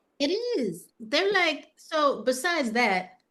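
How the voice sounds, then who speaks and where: A woman speaks with an American accent. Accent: New York accent comes out when angry. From New York City (Manhattan). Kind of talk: casual interview chat. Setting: outdoor terrace.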